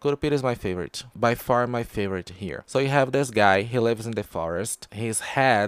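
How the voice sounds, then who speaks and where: This man has a Portuguese accent and a medium pitch with ordinary pitch variation. The sound is dry and close with no echo, on a very clean recording with a silent background. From Brazil. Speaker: podcast host, pop culture reviewer. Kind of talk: casual review monologue. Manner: halting, with fillers.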